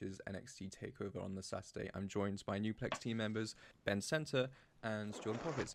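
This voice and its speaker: With a British accent, a man talks at a fairly quick pace and a fairly low pitch, using ordinary pitch variation. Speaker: podcast host. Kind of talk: casual chat. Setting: remote call.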